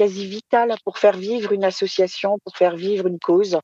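Dark and mellow in tone, a woman speaks at a moderate pace and medium pitch with ordinary pitch variation. The sound is dry and close, with no echo. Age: 50s. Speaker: association president. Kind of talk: live podcast interview. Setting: remote live broadcast.

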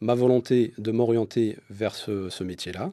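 Against a quiet background, a man speaks at a medium pitch with ordinary pitch variation and a dark, mellow tone. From Morocco, Casablanca. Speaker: photographer. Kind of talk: interview.

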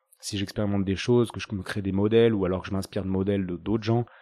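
Dark and mellow, a man's voice sits fairly low in pitch. The recording is very clean, with a silent background. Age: 30s. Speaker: osteopath and podcaster. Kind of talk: casual interview.

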